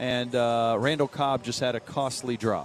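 Against noticeable background noise, a man at a medium pitch talks in an energetic tone. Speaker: sports radio co-host. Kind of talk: live radio play-by-play of football practice. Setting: outdoors at team practice. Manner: rapid, energetic play-by-play, clipped yard-line updates; casual, laughing banter with filler uhs.

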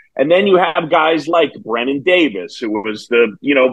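Speaking with an American accent, a man at a medium pitch talks at a moderate pace with lively intonation and an unremarkable speaking voice. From New York City. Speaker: baseball play-by-play broadcaster. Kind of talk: casual interview.

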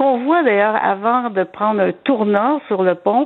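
At a fairly slow pace, a woman speaks in an unremarkable speaking voice with medium pitch and ordinary pitch variation. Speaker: historian. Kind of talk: casual history chat.

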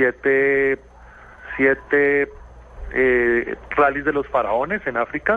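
A man's intonation remains fairly even while noticeable background noise plays underneath. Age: 40s. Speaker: rally driver and dentist. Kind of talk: radio interview. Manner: halting, with frequent repetitions.

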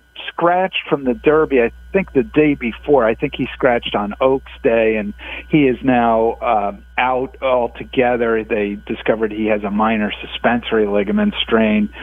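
With lively intonation, a man talks at a moderate pace in a normal speaking voice of medium pitch. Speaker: horse racing journalist. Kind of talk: interview.

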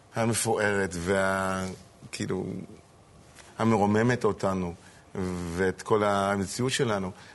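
Very slowly, a man speaks with an English accent. His pitch is fairly low and his intonation fairly even. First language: English (speaking Hebrew). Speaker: rabbi. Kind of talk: casual chat. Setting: studio. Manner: halting.

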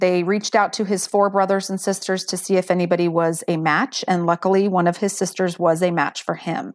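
Recorded very cleanly against a silent background, a woman talks at a moderate pace. She has an ordinary speaking voice at medium pitch. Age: 40s. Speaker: bone marrow donor. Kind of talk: personal testimony in interview.

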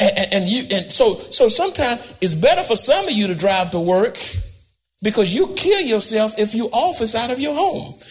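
A high-pitched man in an animated tone at a moderate pace, with very wide pitch swings. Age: 80s+. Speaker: pastor. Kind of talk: sermon.

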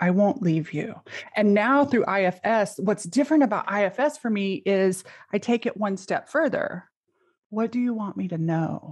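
An unremarkable speaking voice with lively intonation at a moderate pace. The background is quiet. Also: woman, medium pitch for a woman. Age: 40s. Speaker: coach. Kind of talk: casual chat.

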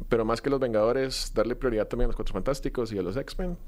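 A man with an ordinary speaking voice, medium pitch and ordinary pitch variation. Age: 20s. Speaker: film content creator. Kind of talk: casual chat.

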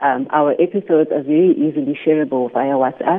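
A woman with a South African accent. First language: isiXhosa. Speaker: podcaster, former finance professional. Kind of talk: radio interview. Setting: phone call.

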